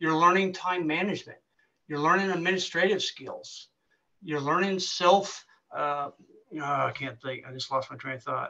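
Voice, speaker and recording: A man's bright, sharp voice, high in pitch, with ordinary pitch variation at a moderate pace over a quiet background. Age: 50s. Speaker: government recruiter, military veteran; webinar presenter. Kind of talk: webinar presentation. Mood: helpful, conversational. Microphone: webcam.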